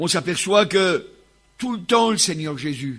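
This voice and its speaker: At a fairly slow pace, a man delivers his words. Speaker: preacher. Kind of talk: sermon. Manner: loud.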